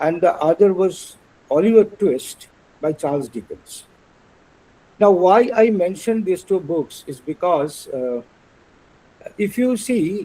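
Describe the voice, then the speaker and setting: In a Bengali accent, a man speaks fairly slowly at a high pitch with lively intonation. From India, West Bengal. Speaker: translator and illustrator. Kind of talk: lecture. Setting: webinar. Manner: halting, many fillers.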